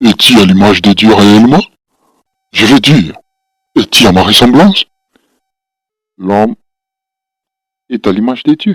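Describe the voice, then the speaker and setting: A man uses a put-on character voice at a medium pitch and a moderate pace. His pitch varies in an ordinary way, broken by long, frequent pauses. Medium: read story.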